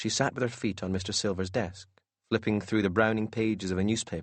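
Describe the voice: Against a quiet background, the voice is plain reading aloud with fairly even intonation.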